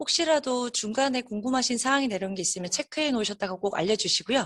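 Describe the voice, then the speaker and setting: A woman at a very fast pace with lively intonation. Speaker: business development and marketing team lead presenting a webinar. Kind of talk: webinar presentation. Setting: online webinar.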